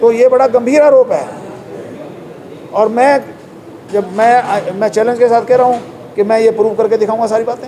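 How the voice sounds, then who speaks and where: A man's extremely high-pitched voice at a moderate pace, with noticeable background noise. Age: 70s. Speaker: politician. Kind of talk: press interview.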